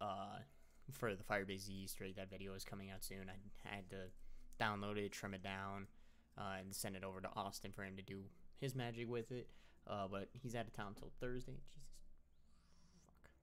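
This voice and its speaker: A man's fairly low voice at a moderate pace with fairly even intonation. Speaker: YouTube gaming creator. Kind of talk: casual update monologue to camera. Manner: casual, rambling, halting with fillers. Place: home room. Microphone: webcam.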